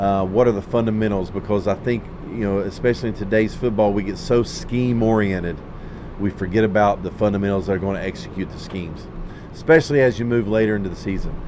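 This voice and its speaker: A man talking at a very fast pace with fairly even intonation, over noticeable background noise. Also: fairly low pitch for a man. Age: 40s. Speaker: high school football coach. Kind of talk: casual chat.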